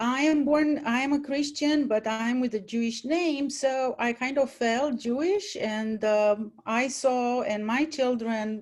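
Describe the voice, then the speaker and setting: A woman's high voice with a Romanian accent, at a fairly slow pace with hardly any pauses and ordinary pitch variation. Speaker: former college teacher, panelist. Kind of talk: panel talk, personal story.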